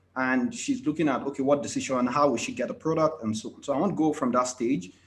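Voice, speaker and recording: Delivered at a very fast pace, the speech has lively intonation and big swings in loudness. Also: man, fairly high pitch for a man. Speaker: IT consultant. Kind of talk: conference presentation.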